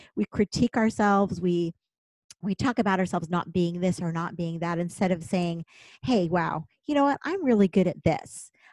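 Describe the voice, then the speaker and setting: At a moderate pace, a plain, everyday voice with ordinary pitch variation comes through dry and close with no echo over a quiet background. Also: woman, fairly low pitch for a woman. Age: 50s. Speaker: teacher. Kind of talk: casual chat.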